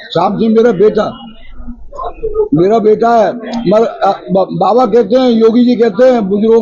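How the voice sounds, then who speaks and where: Fairly even intonation runs through the speech over noticeable background noise. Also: man. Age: 80s+. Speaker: elderly social worker making complaints. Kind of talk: press conference statement. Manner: halting.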